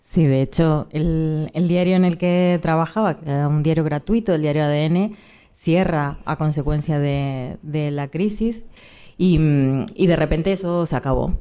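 Speaking fairly slowly, a woman with a Rioplatense accent has a very deep, low voice. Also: ordinary pitch variation. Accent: Argentine Spanish (rioplatense). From Argentina. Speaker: journalist. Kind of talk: live panel conversation. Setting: stage with audience.

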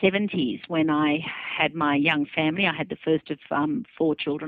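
This woman has an Australian accent and a fairly low pitch. She speaks at a moderate pace. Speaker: author. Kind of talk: interview. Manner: plain, straightforward talk.

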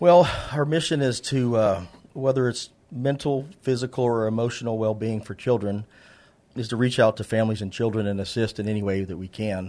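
A man with an American accent speaks at a fairly quick pace in a medium pitch. It is an ordinary speaking voice with ordinary pitch variation. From San Antonio, Texas. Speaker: charity founder and contractor. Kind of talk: casual interview chat.

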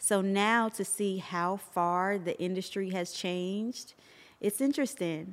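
A woman talks at a fairly slow pace with a medium pitch and ordinary pitch variation. The recording is very clean, with a silent background. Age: 40s. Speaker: business founder. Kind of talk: interview. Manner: animated.

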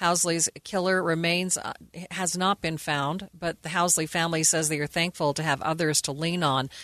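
Here is a woman with an unremarkable speaking voice. She talks at a moderate pace with fairly even intonation. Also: fairly low pitch for a woman. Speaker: radio news anchor. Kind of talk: news reading. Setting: studio. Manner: formal.

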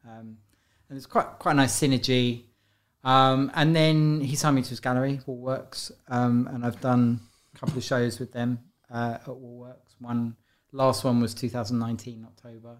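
A man with a London accent speaks at a medium pitch and moderate pace in a monotone, flat intonation. His loudness swings widely, and the recording is very clean with a silent background. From South London. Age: 50s. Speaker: street and gallery artist. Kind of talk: casual interview.

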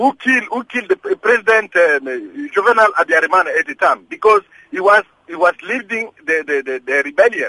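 With a dry, close sound and no echo, a man speaks at a moderate pace in an extremely high, raised and projected voice that swings very widely in pitch. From DR Congo. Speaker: caller. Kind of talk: phone-in comment.

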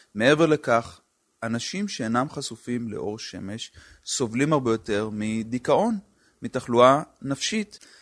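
A man's ordinary speaking voice at a medium pitch and a fairly slow pace, with ordinary pitch variation, in a very clean recording with a silent background. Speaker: public health physician. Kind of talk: interview.

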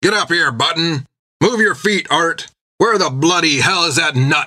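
A man puts on a gruff, raspy character voice pitched high for a man. His loudness stays very even throughout. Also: moderate pace. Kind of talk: coarse, commanding. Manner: hollering, gruff.

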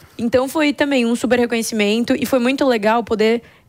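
A woman with a fairly high pitch and a plain, everyday voice speaks at a moderate pace with ordinary pitch variation on a very clean recording with a silent background. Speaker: company founder and CEO. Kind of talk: interview.

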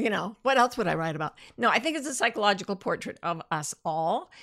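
An animated tone comes through with lively intonation. The tone is bright and sharp, in a very clean recording with a silent background. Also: woman. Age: 60s. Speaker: podcast host and life coach. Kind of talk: casual solo talk with audience comments.

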